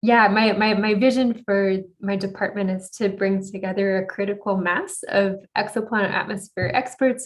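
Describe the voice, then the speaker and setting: An ordinary speaking voice from a woman with an American accent, medium in pitch with fairly even intonation. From United States. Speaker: astronomer, exoplanet researcher. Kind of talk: conference talk Q&A.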